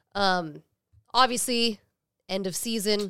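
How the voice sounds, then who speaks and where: A woman's medium-pitched voice at a very slow pace with ordinary pitch variation, on a very clean recording with a silent background. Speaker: sports fan podcast host. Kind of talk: casual chat. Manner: laughs often.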